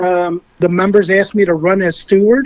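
This is a man speaking. His pitch is high. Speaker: union officer candidate. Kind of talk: interview. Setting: phone call.

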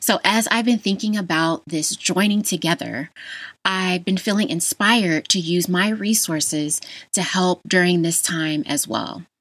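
A woman with an American accent has a normal speaking voice at a medium pitch, with ordinary pitch variation and a fairly slow pace. The recording is very clean, with a silent background. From Las Vegas, Nevada, US. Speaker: podcast host, health educator. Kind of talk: solo podcast monologue.

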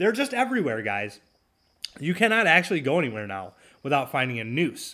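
Very wide pitch swings mark this man's animated tone, delivered with an American accent in a very clean recording with a silent background. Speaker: political podcast host. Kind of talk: angry rant. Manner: sarcastic, mocking, indignant; animated, emphatic, halting with filler words.

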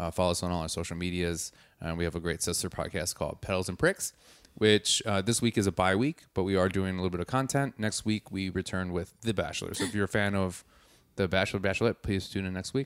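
A man with an American accent talks at a very fast pace in a very deep, low pitch, with ordinary pitch variation. The recording is very clean and dry, with a silent background and a close sound with no echo. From Wisconsin. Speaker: podcast co-host. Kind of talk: casual chat.

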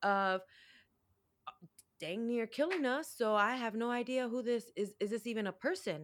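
At a fairly quick pace, a woman with an unremarkable speaking voice, an American accent and a fairly high pitch speaks in a very clean recording with a silent background. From Chicago, US Midwest. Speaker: domestic violence survivor and empowerment coach. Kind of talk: interview testimony.

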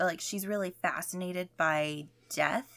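A woman has an ordinary speaking voice at medium pitch and a fairly slow pace. The recording is very clean, with a silent background. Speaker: podcast co-host. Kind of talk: casual chat.

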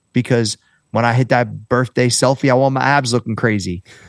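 In an unremarkable speaking voice with an American accent, a man of medium pitch talks at a fairly quick pace with ordinary pitch variation, the sound dry and close with no echo against a quiet background. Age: 40s. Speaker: fitness trainer and entrepreneur. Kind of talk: casual interview chat.

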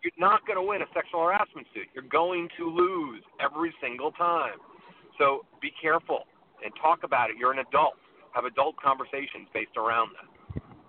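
Using a plain, everyday voice, a man talks at a moderate pace and fairly high pitch with ordinary pitch variation. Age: 50s. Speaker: dating coach. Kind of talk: casual chat. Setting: phone call from a car.

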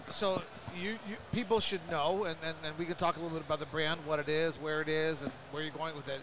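Noticeable background noise runs under this recording. A man with a fairly high pitch talks at a fairly quick pace with fairly even intonation. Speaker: podcast host, cannabis trade association. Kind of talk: casual interview. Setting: trade show booth.

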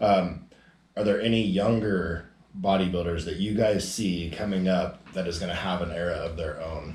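At a moderate pace, a man speaks in a very deep, low, somewhat breathy voice. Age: 30s. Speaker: podcast host, bodybuilder. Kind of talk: casual chat. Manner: casual, profane, energetic.

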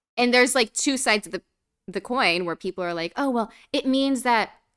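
A woman with a fairly high voice talks at a fairly quick pace on a very clean recording with a silent background. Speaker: podcast host. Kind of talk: angry rant. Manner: fired-up, indignant, emphatic.

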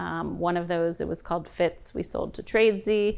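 Against a quiet background, a woman with an American accent and an unremarkable speaking voice talks at a moderate pace with a medium pitch and fairly even intonation. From New York City. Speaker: entrepreneur and growth equity investor. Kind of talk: interview.

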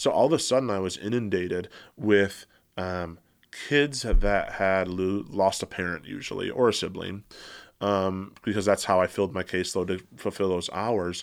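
On a very clean recording with a silent background, a man with an American accent speaks in a normal speaking voice at a fairly low pitch, with ordinary pitch variation and a moderate pace. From Michigan, Metro Detroit. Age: 30s. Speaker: therapist and professor. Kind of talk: casual interview conversation. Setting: studio with headphones and mics.

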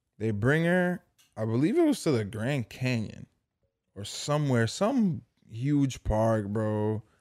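At a very slow pace, a man with an American accent speaks at medium pitch with lively intonation. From Dominican heritage, US. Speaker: podcast co-host. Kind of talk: casual chat.

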